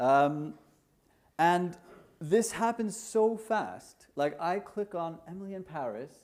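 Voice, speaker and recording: Speaking at a very slow pace in an Icelandic accent, a man with a high pitch for a man uses lively intonation and big swings in loudness. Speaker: conference speaker, market research tech entrepreneur. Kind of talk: conference talk. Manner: casual, hesitant with fillers.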